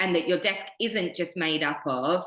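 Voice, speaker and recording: A bright, sharp tone in a British accent, at a fairly slow pace with ordinary pitch variation. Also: woman. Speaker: podcast co-host, recruitment trainer. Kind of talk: casual podcast chat.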